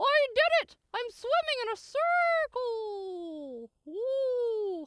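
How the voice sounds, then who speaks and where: A put-on character voice sits at an extremely high pitch. The delivery is very slow. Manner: excited, proud.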